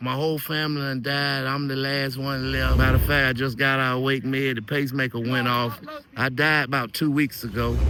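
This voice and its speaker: Amid noticeable background noise and audible room echo, a man speaks fairly quickly at a medium pitch, his intonation flat and monotone. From North Carolina (Durham). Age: 60s. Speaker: interviewee on street interview. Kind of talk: casual interview testimony.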